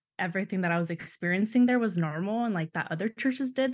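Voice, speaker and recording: This is a plain, everyday voice with ordinary pitch variation. The sound is dry and close with no echo, over a quiet background. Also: woman. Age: 20s. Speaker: guest sharing church abuse story. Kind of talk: casual interview, personal testimony.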